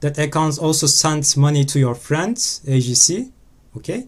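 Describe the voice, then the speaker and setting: Somewhat breathy, the voice carries a non-native accent and moves at a fairly slow pace. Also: man. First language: not English. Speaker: crypto scam investigator. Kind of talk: screen-recorded exposé talk.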